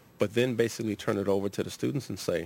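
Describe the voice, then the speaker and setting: A man talks in an American accent with vocal fry. His pitch variation is ordinary. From Los Angeles, Southern California. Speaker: university administrator and psychology professor. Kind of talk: radio interview. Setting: radio studio.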